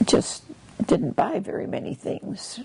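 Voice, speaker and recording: Against noticeable background noise, a woman with an Upper Midwest accent speaks at a very slow pace. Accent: Upper Midwest American. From Wisconsin. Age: 80s+. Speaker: retired kindergarten teacher. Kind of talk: interview answer.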